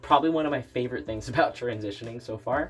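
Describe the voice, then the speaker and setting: Ordinary variation marks the pitch. There is some breathiness to the voice. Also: man. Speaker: transgender vlogger. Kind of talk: personal video update. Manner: casual, many fillers.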